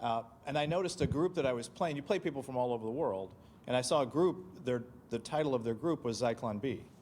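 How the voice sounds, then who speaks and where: A man speaks very fast at a medium pitch. His intonation is lively. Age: 60s. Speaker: county commissioner hosting event. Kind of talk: panel discussion Q&A.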